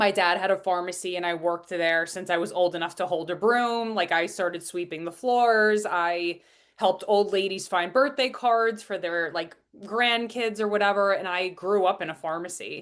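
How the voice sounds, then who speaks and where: In a Long Island accent, a woman speaks at a moderate pace with a medium pitch and ordinary pitch variation against a quiet background. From US Northeast, Long Island, New York. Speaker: business and transformational coach. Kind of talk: podcast interview, personal story.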